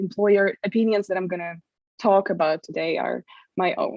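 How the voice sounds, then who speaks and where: A woman with a Russian accent, medium in pitch, at a fairly quick pace. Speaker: privacy awareness manager. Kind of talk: conference presentation. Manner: hesitant, many fillers.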